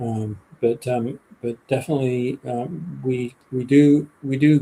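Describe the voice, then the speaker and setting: A man's medium-pitched voice, dark and mellow in tone and somewhat breathy, stays monotone with flat intonation. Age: 60s. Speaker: biologist and author. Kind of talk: interview on a live stream.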